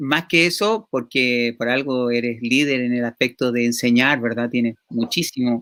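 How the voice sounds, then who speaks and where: A man talks at a fairly slow pace with hardly any pauses. His medium-pitched voice has a bright, sharp tone and fairly even intonation. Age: 50s. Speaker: talk show host. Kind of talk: interview. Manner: halting.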